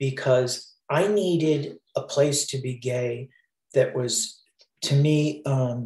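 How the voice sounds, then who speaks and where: Very slow, somewhat breathy delivery with ordinary pitch variation. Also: man, fairly high pitch for a man. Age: 60s. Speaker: Broadway sound designer. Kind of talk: interview answer.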